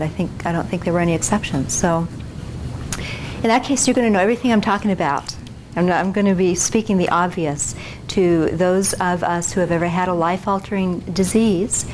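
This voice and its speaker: Soft-spoken at a medium pitch, a woman talks at a fairly quick pace with ordinary pitch variation and very even loudness, amid audible room echo and noticeable background noise. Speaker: physician and keynote speaker. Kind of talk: lecture. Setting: stage with audience. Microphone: no microphone, recorder only.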